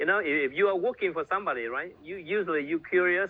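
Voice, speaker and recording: A man with a Vietnamese accent speaks using lively intonation. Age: 60s. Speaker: network marketing leader. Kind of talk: motivational talk. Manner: halting.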